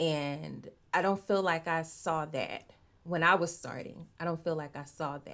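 On a very clean recording with a silent background, a woman with an American accent and an unremarkable speaking voice talks at a fairly slow pace in a fairly low pitch, with fairly even intonation and big swings in loudness. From Arkansas, US South. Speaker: romance novelist. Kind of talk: interview.

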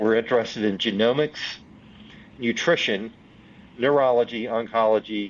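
Using a medium pitch and fairly even intonation, a man speaks at a moderate pace with a Southern US accent. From US South, Union, South Carolina. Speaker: venture capital investor. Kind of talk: interview.

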